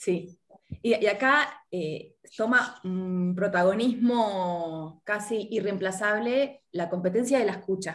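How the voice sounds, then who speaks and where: A woman with an Argentine accent speaks at a very slow pace. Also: medium pitch for a woman, ordinary pitch variation. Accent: Argentine Spanish (Rioplatense). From Argentina. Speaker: life coach. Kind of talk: interview.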